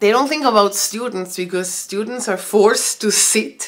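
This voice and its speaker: A woman's bright, sharp voice with a Spanish accent, medium pitch, ordinary pitch variation and a moderate pace. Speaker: vlogger and homeschooling mother. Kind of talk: casual vlog monologue. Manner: halting.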